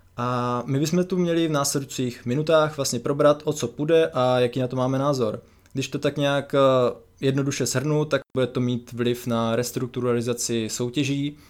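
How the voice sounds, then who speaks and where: A man speaks in an unremarkable speaking voice at a medium pitch. His pace is moderate and his intonation fairly even. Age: 20s. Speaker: podcast co-host, football website founder. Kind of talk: casual chat. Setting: remote recording over computers.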